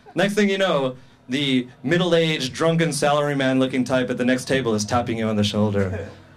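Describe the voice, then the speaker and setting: A man speaks over noticeable background noise. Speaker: stand-up comedian. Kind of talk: stand-up comedy set for a live club audience. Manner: nervous, awkward.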